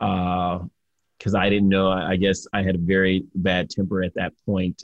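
This man has a very deep, low pitch and an American accent. His intonation is monotone and flat. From Detroit, Michigan. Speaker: motivational speaker and entrepreneur. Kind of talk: interview, life story.

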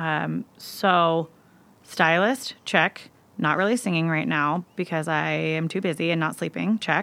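Woman with an American accent, bright, sharp tone and ordinary pitch variation at a fairly slow pace, in a very clean recording with a silent background. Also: fairly low pitch for a woman. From US Pacific Northwest, Seattle. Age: 30s. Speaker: hairstylist and nonprofit founder. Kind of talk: casual interview chat. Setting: podcast recording.

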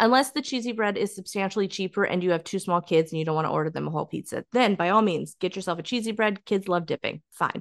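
Over a quiet background, a medium-pitched woman speaks very fast with hardly any pauses and ordinary pitch variation, her sound dry and close with no echo. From US desert region. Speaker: podcast co-host. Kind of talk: casual chat.

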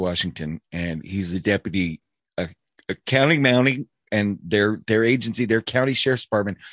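A man with a normal speaking voice talks at a moderate pace, his pitch fairly low with ordinary variation, against a quiet background. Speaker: podcast host. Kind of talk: casual chat. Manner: casual, profane.

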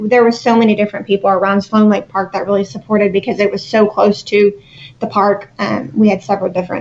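With a normal speaking voice, a woman talks fairly quickly at a medium pitch with ordinary pitch variation. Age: 30s. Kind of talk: interview.

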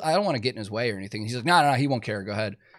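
A man with a Chicago accent talks with lively intonation on a very clean recording with a silent background. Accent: leveled-out Chicago American. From Chicago, US. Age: 30s. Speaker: podcast host and touring guitar tech. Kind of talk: casual interview chat. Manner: casual, chatty.

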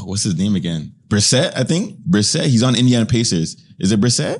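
Very wide pitch swings mark this man's speech. He leaves hardly any pauses. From Canada, Toronto area (Ajax), Jamaican heritage. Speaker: reality TV contestant. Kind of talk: casual chat. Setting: studio.

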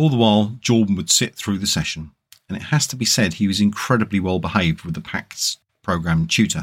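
This man has an unremarkable speaking voice with a fairly low pitch. He talks at a fairly quick pace with lively intonation. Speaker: narrator and host. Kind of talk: audiobook-style reading aloud of a book chapter.

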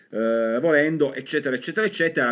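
This man's voice is fairly high and his pace is very fast. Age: 40s. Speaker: comics writer and novelist. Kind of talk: casual chat.

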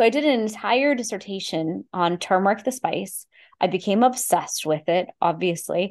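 Against a quiet background, a woman with a medium-pitched voice speaks at a moderate pace and lively intonation. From Houston, Texas, US, Indian immigrant family. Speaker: Ayurvedic practitioner. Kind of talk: interview.

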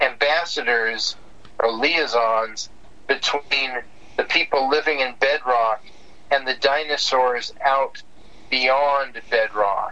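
There is noticeable background noise behind this man. He has an American accent and a fairly high pitch. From US West Coast, San Diego. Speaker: cartoonist. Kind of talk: casual interview. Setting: phone call.

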